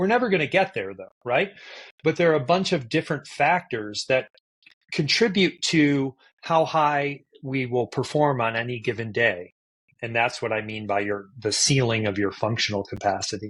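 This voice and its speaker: A normal speaking voice comes through at a moderate pace with lively intonation. The background is quiet. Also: man, medium pitch for a man. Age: 60s. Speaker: neuroscientist and endurance coach. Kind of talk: podcast interview.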